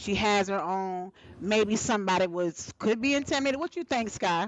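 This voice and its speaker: A woman with an American accent, medium in pitch, an unremarkable speaking voice at a moderate pace. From Alabama, US South. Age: 40s. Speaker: talk show host. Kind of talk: live panel talk show. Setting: live stream.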